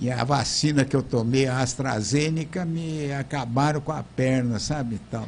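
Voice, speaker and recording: Somewhat breathy, a man talks at a moderate pace with hardly any pauses, using a medium pitch and ordinary pitch variation. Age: 80s+. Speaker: engineer and TV show host. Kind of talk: casual chat.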